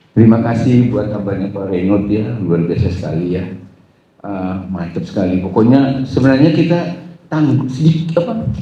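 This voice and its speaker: A man with a West Javanese accent speaks at a moderate pace in a fairly low pitch. His intonation is lively, and the room echo is audible. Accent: Sundanese. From Batak, North Sumatra. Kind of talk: event hosting.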